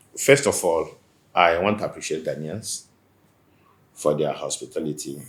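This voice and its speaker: A man speaks at a moderate pace. He has a Nigerian accent. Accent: Nigerian Igbo English. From Nigeria, Igbo. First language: Igbo. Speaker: businessman and community association leader. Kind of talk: interview.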